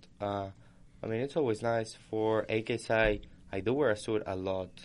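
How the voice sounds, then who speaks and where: This man has a normal speaking voice, pitched fairly low, with ordinary pitch variation. He talks at a fairly quick pace against a quiet background. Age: 20s. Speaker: college student podcast co-host. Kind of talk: casual chat. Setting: studio.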